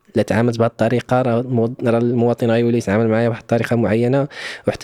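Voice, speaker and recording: A very fast, monotone male voice of medium pitch, dark and mellow in tone, with flat intonation. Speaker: podcast host, former civil servant. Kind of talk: casual interview conversation.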